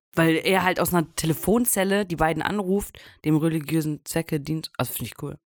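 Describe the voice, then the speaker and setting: A woman with a normal speaking voice talks at a fairly quick pace, her fairly low pitch varying in an ordinary way and her loudness swinging widely. The recording is very clean with a silent background, dry and close with no echo. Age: 20s. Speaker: podcast co-host. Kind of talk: casual chat.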